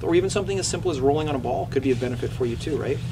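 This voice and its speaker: Amid noticeable background noise and audible room echo, a man talks at a very fast pace in a medium pitch. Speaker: chiropractor and anatomy educator giving a talk. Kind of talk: presentation with audience questions. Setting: running store presentation with audience. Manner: fast when excited; animated.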